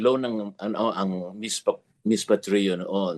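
A man speaks very slowly with ordinary pitch variation in a dry, close sound with no echo. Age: 80s+. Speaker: gospel singer. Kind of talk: casual chat.

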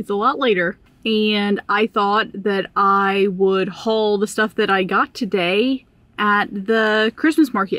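A woman speaks slowly with few pauses, her pitch medium and her tone fairly bright. Her intonation stays fairly even.

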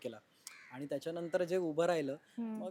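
The speaker is a man with a high pitch. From Maharashtra, Ambarnath. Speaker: actor. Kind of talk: casual interview chat. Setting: at his family home.

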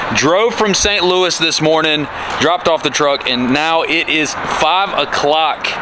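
A man talks fairly slowly with ordinary pitch variation. There is noticeable background noise, and the sound is dry with no echo. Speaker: truck shop vlogger. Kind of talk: casual vlog commentary. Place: street. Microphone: phone near.

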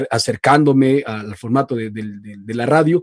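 A man with a normal speaking voice talks at a moderate pace and fairly even intonation, the sound dry with no echo and the background quiet. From Ecuador, Loja; Ecuador. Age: 20s. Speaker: voice-over artist and radio announcer; radio announcer. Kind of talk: casual interview chat. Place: studio. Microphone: video call.

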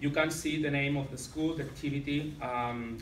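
A man with a Catalan accent speaks at a moderate pace in a fairly high voice with fairly even intonation. Audible room echo and light background noise are present. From Catalonia, Spain. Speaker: secondary school teacher. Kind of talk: conference presentation. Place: meeting room. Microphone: camera far.

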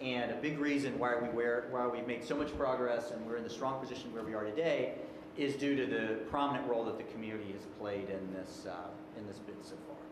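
A man talks at a fairly quick pace with ordinary pitch variation. Audible room echo and noticeable background noise are present. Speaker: presenter. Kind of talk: presentation to a board. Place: meeting room. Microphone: podium.

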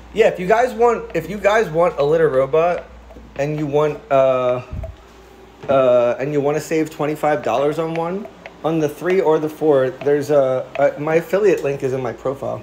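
A man with an American accent, fairly high in pitch, at a moderate pace with ordinary pitch variation over noticeable background noise. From Philadelphia, US. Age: 30s. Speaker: cat livestreamer. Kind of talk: casual livestream chat. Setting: home livestream. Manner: animated.

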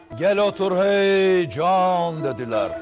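Over clear music in the background, a high-pitched man speaks with ordinary pitch variation. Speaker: politician. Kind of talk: poetry reading. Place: studio. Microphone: lapel.

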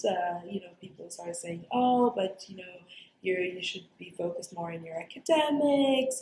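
Speaking at a moderate pace, a woman uses lively intonation. Audible room echo and light background noise are present. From Dubai. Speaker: actor, storyteller, voice over artist. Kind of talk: interview answer. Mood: warm, reflective, smiling. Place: meeting room.

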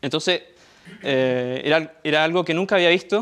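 Fairly high-pitched for a man, his voice moves at a fairly slow pace with ordinary pitch variation. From Chile. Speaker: software developer; conference presenter. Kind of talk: conference talk. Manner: halting. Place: meeting room.

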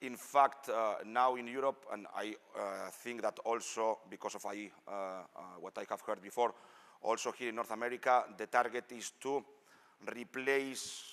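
A man speaks with a non-native accent, fairly even intonation and a moderate pace. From Spain. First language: Spanish. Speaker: engineer; presenter. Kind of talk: technical presentation. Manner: halting. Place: hall.

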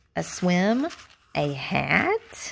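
This put-on character voice moves at a very slow pace with vocal fry and big pitch swings. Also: woman, fairly low pitch for a woman, fairly bright tone.

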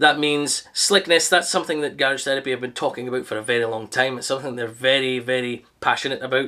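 The man's tone is bright and sharp. He talks at a fairly quick pace over a quiet background. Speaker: car detailing reviewer. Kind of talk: product review talk. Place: garage. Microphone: camera far.

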